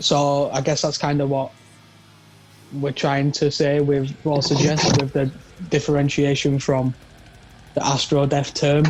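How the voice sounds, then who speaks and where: Someone with a Yorkshire accent speaks at a fairly slow pace. There is noticeable background noise. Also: man. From northern England, Leeds. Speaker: drummer in a metal band. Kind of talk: interview.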